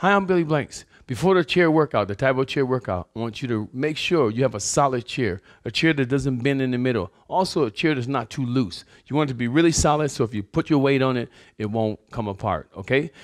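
A man is speaking at a fairly quick pace. The background is quiet. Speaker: fitness instructor. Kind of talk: tutorial. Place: gym. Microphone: lapel.

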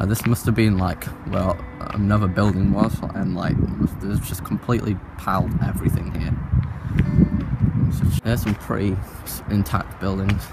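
Over music in the background, a man speaks at a moderate pace in a dry sound with no echo. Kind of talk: casual vlog commentary. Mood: curious, slightly uneasy. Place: open country. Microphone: phone near.

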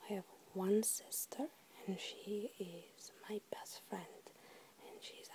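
Soft-spoken and whispering, a woman talks at a fairly slow pace over noticeable background noise. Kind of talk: ASMR whisper tag video. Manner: whispered, soft-spoken.

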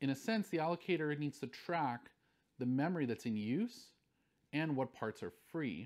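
Man speaking at a moderate pace with very wide pitch swings, quiet background. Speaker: university lecturer. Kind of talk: lecture. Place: studio.

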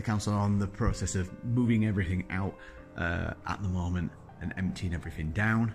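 A man talks at a moderate pace in a fairly low pitch with ordinary pitch variation. Clear music plays in the background. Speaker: vlogger. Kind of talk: casual vlog chat. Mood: excited, upbeat. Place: hall. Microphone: phone near.

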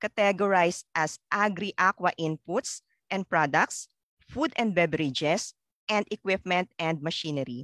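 Against a quiet background, a woman speaks at a moderate pace with a bright, sharp tone. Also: dry sound with no echo. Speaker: event host. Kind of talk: formal emcee opening remarks. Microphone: headset.

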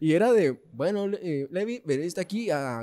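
Pitched high with very wide swings, a man speaks in a dark, mellow tone. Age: 20s. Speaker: podcast host. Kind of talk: casual chat. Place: home room. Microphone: studio mic.

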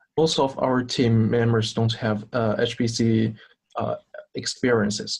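Speaking with a Chinese accent, a man moves at a very slow pace with fairly even intonation. The background is quiet. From China. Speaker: student team captain. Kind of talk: interview. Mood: recounting a memorable event. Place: home room. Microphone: video call.

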